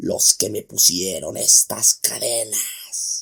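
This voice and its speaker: Very slow, hoarse, raspy growling from a man in a put-on character voice. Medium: read story. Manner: gruff, bitter.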